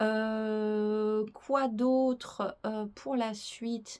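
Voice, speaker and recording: Her fairly high-pitched voice holds a fairly even intonation as the woman speaks. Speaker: YouTuber presenting strange places. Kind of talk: casual vlog to camera. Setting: wooden cabin chalet. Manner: hesitant, many fillers.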